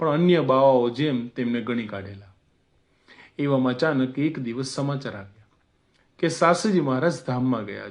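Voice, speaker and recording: This man has an ordinary speaking voice at medium pitch, with ordinary pitch variation. His loudness swings widely against a quiet background. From Gujarati family, schooled in Jabalpur, central India. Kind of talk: religious memoir narration.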